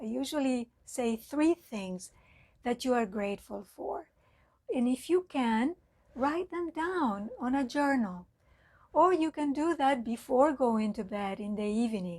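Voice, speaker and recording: This woman's high voice moves with lively intonation at a very slow pace. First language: Spanish. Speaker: mindfulness teacher. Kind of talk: talk. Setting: online live talk.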